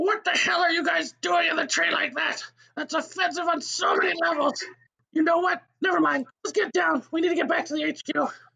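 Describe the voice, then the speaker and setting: The voice is high-pitched and moves at a moderate pace. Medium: audio drama. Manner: irritated, then menacing.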